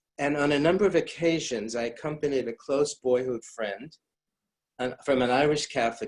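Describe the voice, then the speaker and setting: A man speaks with an American accent in an unremarkable speaking voice. He keeps a moderate pace and ordinary pitch variation. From US Midwest, St. Louis, Missouri. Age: 60s. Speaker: rabbi. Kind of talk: lecture.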